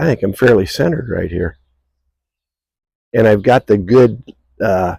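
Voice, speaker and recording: Fairly low pitch from a man, ordinary pitch variation, dry and close sound with no echo. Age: 60s. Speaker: retired mailman. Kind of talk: casual talk to camera. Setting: outdoors. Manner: hesitant, rambling.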